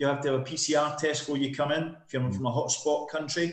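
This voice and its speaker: This man has a Scottish accent and a fairly high pitch. His intonation is monotone and flat, at a moderate pace. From Scotland. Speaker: property developer sales director. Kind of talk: casual interview.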